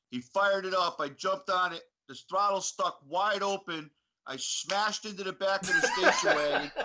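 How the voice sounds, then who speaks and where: In an American accent, a man speaks with a bright, sharp tone. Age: 50s. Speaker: retired motocross racer. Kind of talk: casual chat.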